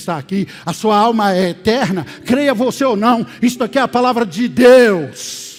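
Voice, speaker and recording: A man talks with lively intonation. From Brazil, Minas Gerais (Oliveira). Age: 60s. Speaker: pastor. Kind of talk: sermon. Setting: church service, also streamed.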